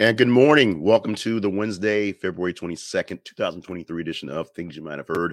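A man puts on a hoarse, raspy character voice with a very deep, low pitch and ordinary pitch variation. He talks at a fairly quick pace with hardly any pauses and big swings in loudness, in a dry, close sound with no echo.

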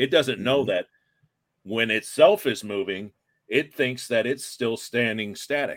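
A man with an American accent speaks at a fairly slow pace and medium pitch, with ordinary pitch variation and a plain, everyday voice, on a very clean recording with a silent background. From Iowa. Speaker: paranormal investigator. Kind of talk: casual chat.

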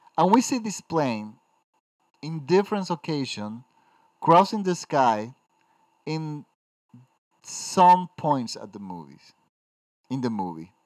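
On a very clean recording with a silent background and a dry, close sound with no echo, a man with a Spanish accent speaks very slowly with long, frequent pauses, a fairly high pitch, very wide pitch swings and big swings in loudness. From Dominican Republic. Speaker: film critic. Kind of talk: solo podcast film review. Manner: halting.

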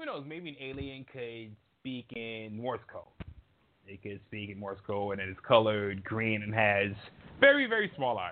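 A man with an unremarkable speaking voice talks at a medium pitch and moderate pace. His pitch varies in an ordinary way while his loudness swings widely. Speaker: co-host correspondent. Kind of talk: casual chat.

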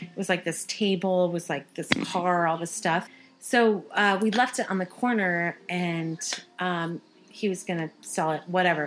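A woman with an American accent, fairly low-pitched and fairly slow, with fairly even intonation and a normal speaking voice. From Phoenix, Arizona, US. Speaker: podcast co-host. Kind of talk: casual chat.

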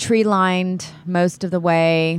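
With an American accent, a woman talks at a very slow pace in a fairly low pitch. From Texas Gulf Coast (Texas City). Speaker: filmmaker's wife and occasional actress. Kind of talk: casual storytelling chat.

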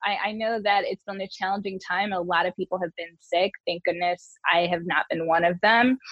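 A woman's medium-pitched, normal speaking voice with an American accent, fairly even intonation, a moderate pace and hardly any pauses. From Detroit area, Michigan. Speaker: communications director and former beauty queen. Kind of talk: casual interview.

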